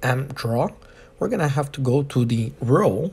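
A man at medium pitch with a non-native accent, somewhat breathy, at a fairly slow pace, with ordinary pitch variation. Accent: heavy non-native. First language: not English. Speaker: boat equipment installer. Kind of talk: instructional tutorial narration.

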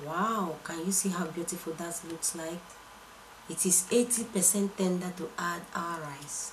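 A woman speaks at a very slow pace with a fairly low pitch. Noticeable background noise runs underneath. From Nigeria. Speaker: cooking channel host. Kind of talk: cooking tutorial. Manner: animated.

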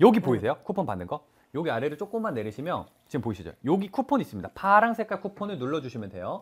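Against a quiet background, a man with vocal fry and a fairly high pitch talks very fast in an animated tone, his pitch swinging very widely. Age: young. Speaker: live commerce shopping host. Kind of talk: live shopping broadcast. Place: studio.

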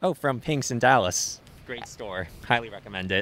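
With a fairly bright tone, a man speaks with ordinary pitch variation. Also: medium pitch for a man, moderate pace.

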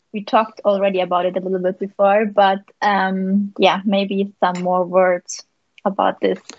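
At a moderate pace, a woman speaks with monotone, flat intonation in a dry sound with no echo. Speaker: paragliding pilot and interviewer; interviewer. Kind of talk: live interview. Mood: friendly, smiling. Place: home room. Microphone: video call.

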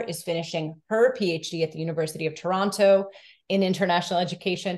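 A woman with a fairly low pitch speaks with an American accent at a moderate pace, in a normal speaking voice. Her intonation stays fairly even. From US Northeast (Massachusetts). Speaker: education researcher. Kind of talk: academic presentation. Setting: video call. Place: home room. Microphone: video call.

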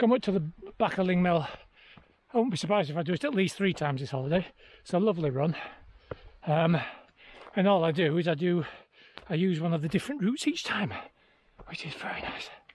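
Very fast and high-pitched, a man speaks with lively intonation in a dry sound with no echo. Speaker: fell runner vlogger. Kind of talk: casual vlog chat. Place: open country. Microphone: phone near.

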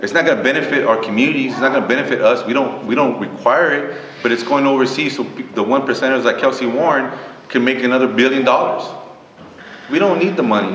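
A man with an American accent talks at a very fast pace, with medium pitch and ordinary pitch variation. Audible room echo and light background noise surround him. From Texas. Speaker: panelist. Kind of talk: panel discussion. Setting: stage with audience. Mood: earnest, firm conviction. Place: meeting room.

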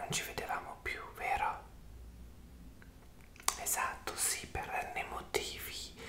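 A man is whispering. He speaks at a very slow pace. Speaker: ASMR creator. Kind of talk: ASMR roleplay. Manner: whispered, soft. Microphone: earbuds.

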